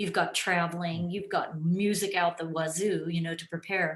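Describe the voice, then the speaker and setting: This woman has a normal speaking voice with a fairly low pitch. She keeps a moderate pace and fairly even intonation. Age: 60s. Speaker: orchestral flutist. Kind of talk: casual interview.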